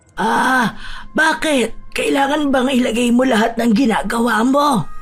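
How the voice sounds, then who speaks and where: A woman in a put-on character voice, high-pitched and fairly slow, with very even loudness and faint music in the background. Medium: read story.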